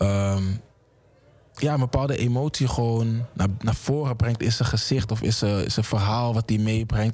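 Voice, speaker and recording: A man's voice is somewhat breathy and dark, with a mellow tone. He speaks at a moderate pace in a medium pitch. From Amsterdam. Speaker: hip-hop artist. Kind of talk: casual interview.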